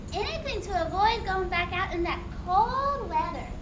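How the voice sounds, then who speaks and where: Over loud background noise, a woman puts on a squeaky character voice at an extremely high pitch, speaking at a moderate pace. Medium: stage play. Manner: eager, chatty.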